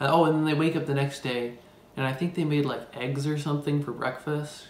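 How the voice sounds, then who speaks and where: A man's monotone, flat delivery at a moderate pace with audible room echo. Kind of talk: casual storytelling, film plot retelling. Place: kitchen. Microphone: phone near.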